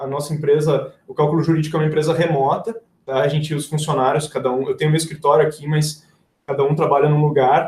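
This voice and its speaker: The man here talks at a fairly quick pace. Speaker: engineer and software company founder giving a talk. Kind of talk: live webinar presentation. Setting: livestream with screen sharing. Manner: fast.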